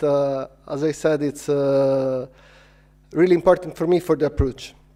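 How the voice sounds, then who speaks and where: The speaker keeps a moderate pace and fairly even intonation amid noticeable background noise. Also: man. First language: not English. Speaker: filmmaker and VR producer. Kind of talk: conference talk. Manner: halting, many fillers.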